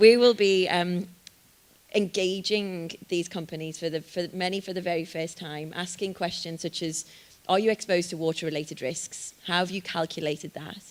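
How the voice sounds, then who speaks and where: A woman with a Liverpool accent speaks at a moderate pace in a fairly low pitch, her intonation fairly even while her loudness swings widely. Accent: Liverpool (Scouse) English. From northern England, Liverpool. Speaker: sustainability organisation representative. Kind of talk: panel Q&A at launch event.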